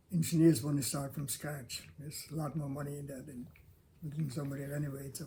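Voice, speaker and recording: A man with a fairly high, somewhat breathy voice and a dark, mellow tone speaks at a fairly quick pace. His intonation is monotone and flat, and the room echo is audible. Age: 80s+. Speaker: longtime local resident, builder. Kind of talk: interview. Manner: halting.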